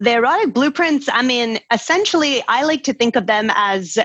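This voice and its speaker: A woman's fairly high voice with a Scottish accent and lively intonation. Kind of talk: casual chat. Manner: animated.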